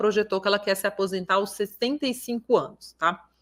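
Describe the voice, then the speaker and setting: A woman speaks very fast, with a bright, sharp tone. Her pitch is medium and her intonation fairly even. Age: 30s. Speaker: financial educator. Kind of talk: online class. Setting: livestream.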